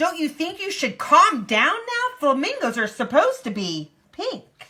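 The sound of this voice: A woman's put-on character voice, high-pitched, bright and sharp, with very wide pitch swings and a fairly slow pace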